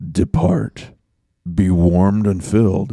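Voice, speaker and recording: The speaker is a man using a put-on character voice. His very deep, low pitch comes at a fairly slow pace. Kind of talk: King James solemn. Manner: solemn.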